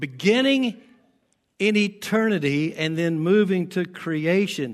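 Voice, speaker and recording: With an American accent, a man speaks at a very slow pace with a high pitch and lively intonation. The background is quiet. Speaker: pastor. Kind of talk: sermon. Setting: church.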